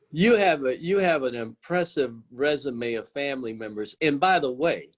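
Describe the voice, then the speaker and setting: Using an ordinary speaking voice, a man with a fairly high pitch talks at a moderate pace with lively intonation. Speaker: podcast host. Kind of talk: interview question.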